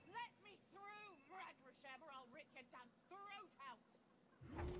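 A put-on character voice at an extremely high pitch, growling at a fairly slow pace over loud background noise. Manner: threatening, snarling.

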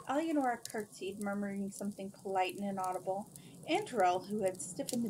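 Reading aloud, plain

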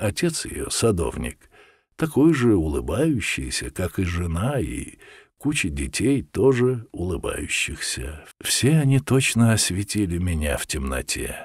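A man with a fairly low pitch and vocal fry talks at a very slow pace with very wide pitch swings. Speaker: audiobook narrator. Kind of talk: reading aloud.

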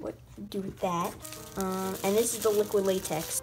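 Speech at a moderate pace with ordinary pitch variation, over clear music in the background. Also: woman. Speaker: beauty vlogger. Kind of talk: casual vlog chat. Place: home room. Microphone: webcam.

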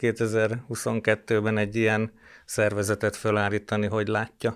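A man speaks very slowly, and the background is quiet. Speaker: newsroom editor-in-chief. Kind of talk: formal panel discussion. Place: studio. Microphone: studio mic.

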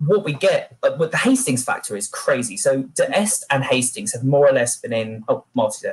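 A British accent marks this man's speech. He goes at a fairly quick pace over a quiet background. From Britain. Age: 30s. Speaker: military historian. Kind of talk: panel discussion. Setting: video call. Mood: wry, animated. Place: home room. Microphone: webcam.

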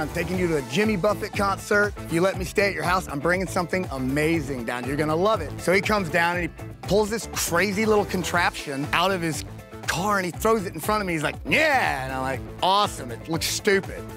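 Clear music plays behind a man with an American accent. His high voice moves at a fairly quick pace, the sound dry with no echo. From Florida. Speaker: stroke survivor and pro onewheel rider. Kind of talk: interview answer. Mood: earnest, emotional, inspired. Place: open country.

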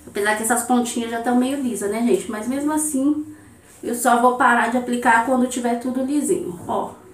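A woman talks at a fairly quick pace with a high pitch. Noticeable background noise runs underneath. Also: ordinary pitch variation. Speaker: beauty vlogger. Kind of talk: hair tutorial. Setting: home bathroom. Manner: animated.

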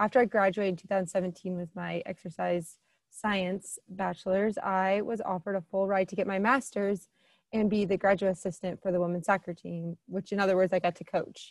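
A woman speaks with a Midwestern US accent at a moderate pace, in a monotone, flat intonation, with a dry sound with no echo against a quiet background. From Southern Illinois; Illinois. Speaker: admissions counselor. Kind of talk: informational presentation. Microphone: webcam.

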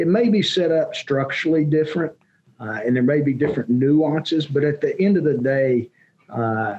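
A moderate pace with ordinary pitch variation. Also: man. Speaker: remote podcast guest. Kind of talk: interview answer. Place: office.

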